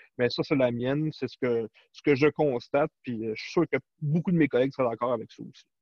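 Here a man with a plain, everyday voice speaks at a medium pitch and a fairly quick pace, with ordinary pitch variation. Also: big swings in loudness. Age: 40s. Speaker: cybersecurity specialist. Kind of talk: interview.

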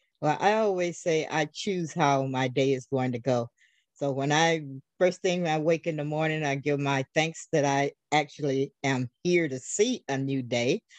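A woman's very deep, low voice with an American accent, at a moderate pace with ordinary pitch variation, in a dry, close sound with no echo. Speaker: podcast host. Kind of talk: interview. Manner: enthusiastic.

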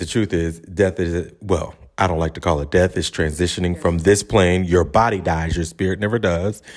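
A man speaks with a Charleston accent, his pitch very deep and low with ordinary variation. The recording is very clean, with a silent background. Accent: Charleston Southern US. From Charleston, South Carolina. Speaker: podcast host. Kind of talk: casual podcast talk.

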